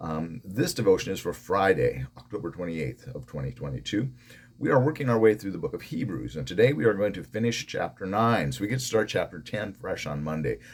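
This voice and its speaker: A man with a fairly low pitch and vocal fry talks at a fairly quick pace. His pitch swings very widely. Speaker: pastor. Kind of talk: devotional Bible teaching.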